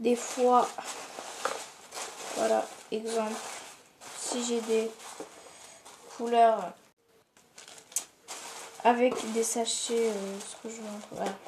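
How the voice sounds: A soft-spoken woman with a fairly high pitch and a slightly mellow tone speaks slowly, with little pitch movement and long, frequent pauses, amid audible room echo.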